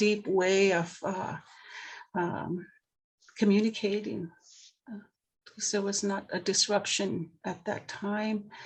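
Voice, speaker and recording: The speaker has a Maritime Canadian accent and a somewhat breathy, monotone, flat delivery. The pace is very slow, with long, frequent pauses over a quiet background. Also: woman, medium pitch for a woman. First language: Mi'kmaq. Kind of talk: panel discussion. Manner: halting.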